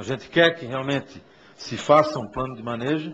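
This man has an ordinary speaking voice, fairly high in pitch, with fairly even intonation. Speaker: tourism official. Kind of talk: formal public hearing speech.

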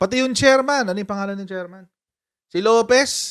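With lively intonation and an extremely high pitch, a man speaks at a moderate pace over a quiet background. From Philippines. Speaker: political commentary YouTuber. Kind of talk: casual live-stream commentary. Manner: animated, laughing often. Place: home room. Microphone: studio mic.

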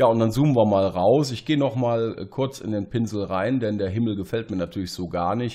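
Dark and mellow, this man's medium-pitched voice shows ordinary pitch variation. He talks at a fairly quick pace with hardly any pauses. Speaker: photo editing tutorial creator. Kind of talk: tutorial. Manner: halting, many fillers.

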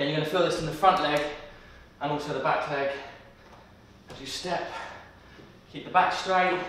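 Over light background noise and strong room echo, a man talks at a fairly quick pace with fairly even intonation. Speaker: fitness trainer. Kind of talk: workout instruction. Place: home room.

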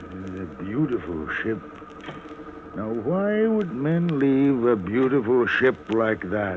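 In a put-on character voice, a man sounds gruff and medium in pitch, talking at a very slow pace. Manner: curt, gruff, laconic.

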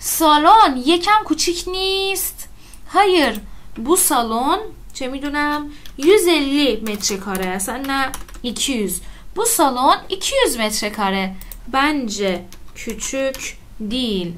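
Against light background noise, a woman with a high voice speaks at a very slow pace, her pitch swinging very widely between long, frequent pauses. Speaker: Turkish language teacher. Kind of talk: lecture. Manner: informal, explanatory. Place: home room.

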